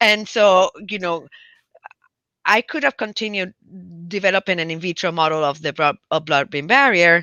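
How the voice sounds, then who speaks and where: Speaking with a Spanish accent, a woman uses a medium pitch and lively intonation at a moderate pace, leaving long, frequent pauses. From Puerto Rico, countryside. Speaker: physician and public health professor. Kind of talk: interview conversation. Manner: halting, many fillers and restarts.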